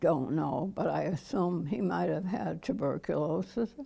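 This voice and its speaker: Very slowly, a woman speaks at a fairly low pitch with a dark, mellow tone, vocal fry and lively intonation. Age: 80s+. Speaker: memoirist. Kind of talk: oral history interview answer.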